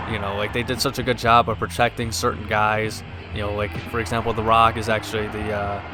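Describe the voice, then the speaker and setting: Music plays in the background as a man talks at a fairly quick pace in a flat monotone. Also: fairly low pitch for a man. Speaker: gaming let's play commentator. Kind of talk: video game commentary.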